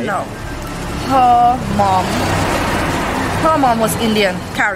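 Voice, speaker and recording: Speech unfolds at a very slow pace. Loud background noise is present. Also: woman. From Saint Vincent. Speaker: cook. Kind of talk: interview answer. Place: street.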